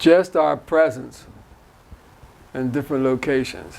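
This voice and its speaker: Fairly slow, medium-pitched speech from a man, with noticeable noise behind it. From North Philadelphia. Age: 70s. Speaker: community volunteer. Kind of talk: interview.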